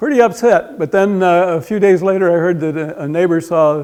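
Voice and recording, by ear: Speaking at a fairly quick pace, a man has a high pitch, a clear, smooth and slightly mellow tone, and fairly even intonation.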